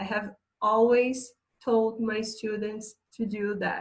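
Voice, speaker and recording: A woman's somewhat breathy, fairly high voice in a Portuguese accent, with a monotone, flat intonation and a very slow pace. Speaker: English teacher. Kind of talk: online lesson.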